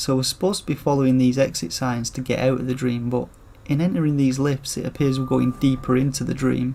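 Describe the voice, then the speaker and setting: A man speaks with fairly even intonation. Background noise is noticeable. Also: medium pitch for a man. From northern England, Rochdale near Manchester. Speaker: video game streamer. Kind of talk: live gameplay commentary. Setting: livestream. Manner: casual, conversational; deliberately clear enunciation.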